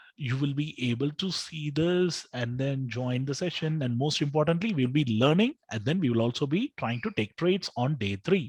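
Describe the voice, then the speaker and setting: With a South Indian accent, a man speaks at a fairly high pitch in a somewhat breathy voice, his intonation lively and hardly any pauses, recorded dry and close with no echo against a quiet background. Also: moderate pace. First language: Telugu. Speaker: trading educator. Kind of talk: live webinar tutorial. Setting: live online session with screen share.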